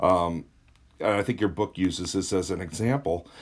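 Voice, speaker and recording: The recording is very clean with a silent background. A man speaks at a fairly low pitch and moderate pace, with ordinary pitch variation. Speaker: chemistry teacher. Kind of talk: lecture. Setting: at home, recording on a tablet. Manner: soft-spoken.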